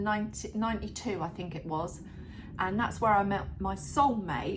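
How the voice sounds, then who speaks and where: With an unremarkable speaking voice, the woman talks at a medium pitch and a moderate speed. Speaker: midlife lifestyle vlogger. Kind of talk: casual talk to camera. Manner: upbeat.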